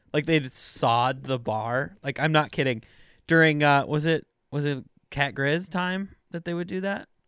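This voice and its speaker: This man has an ordinary speaking voice, fairly high in pitch, with ordinary pitch variation, at a fairly slow pace. The recording is very clean, with a silent background. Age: 30s. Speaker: podcast co-host. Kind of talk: casual chat. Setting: studio.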